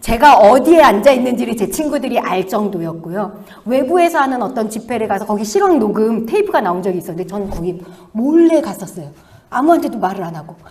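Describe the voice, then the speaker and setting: A woman with a fairly high pitch and very wide pitch swings at a fairly quick pace, big swings in loudness, audible room echo and noticeable background noise. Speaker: missionary. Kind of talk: sermon. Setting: church.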